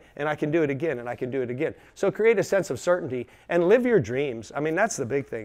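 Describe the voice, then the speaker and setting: In an animated tone, a man talks at a very fast pace with a fairly high pitch over a quiet background. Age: 60s. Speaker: chiropractor. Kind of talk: talk to business audience.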